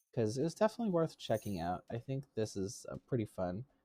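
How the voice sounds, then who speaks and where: Music can be heard in the background. Over it, the talking proceeds at a moderate pace. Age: 30s. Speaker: streamer. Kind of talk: live stream gameplay chat. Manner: casual, conversational.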